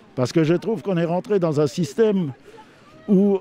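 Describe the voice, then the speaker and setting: There is noticeable background noise as a man speaks with a high pitch. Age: 60s. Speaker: protester. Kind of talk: street interview.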